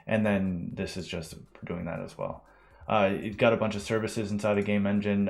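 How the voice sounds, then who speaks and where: Recorded very cleanly against a silent background, a man talks with a fairly low pitch. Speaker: game developer teaching a livestream. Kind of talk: live tutorial stream. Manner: fast; casual, many fillers.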